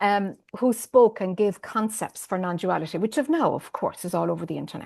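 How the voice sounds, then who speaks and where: The speaker has an Irish accent and ordinary pitch variation. The pace is moderate, over a quiet background. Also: woman. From Ireland. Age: 50s. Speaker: spiritual teacher. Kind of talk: interview. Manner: hesitant, many fillers.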